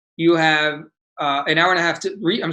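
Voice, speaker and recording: Someone speaks with a Spanish accent against a quiet background. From United States. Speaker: bar exam instructor. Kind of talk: webinar lecture. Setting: online webinar.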